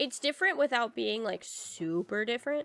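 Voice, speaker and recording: In an American accent, a woman speaks high with very wide pitch swings, the sound dry and close with no echo. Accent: slight southern accent, doesn't always show. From US South. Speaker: streamer. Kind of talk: casual chat. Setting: live stream.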